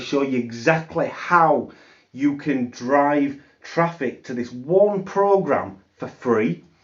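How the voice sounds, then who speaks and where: With a British accent, a man speaks in a fairly high voice with ordinary pitch variation. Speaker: affiliate marketing youtuber. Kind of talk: sales pitch. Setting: home office.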